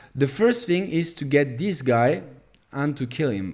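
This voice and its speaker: A dark, mellow tone marks this man's voice. The pitch moves in an ordinary way. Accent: French. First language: French. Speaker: gaming youtuber. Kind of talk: gameplay tutorial. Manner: halting, many fillers.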